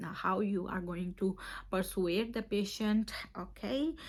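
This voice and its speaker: The voice comes at a fairly slow pace with vocal fry. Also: woman. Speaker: nurse and OET tutor. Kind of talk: tutorial.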